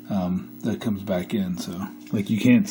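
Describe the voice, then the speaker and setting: A man speaks at a fairly slow pace in a medium pitch. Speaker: arcade machine repair hobbyist. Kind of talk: casual repair tutorial talk to camera. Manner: monotone.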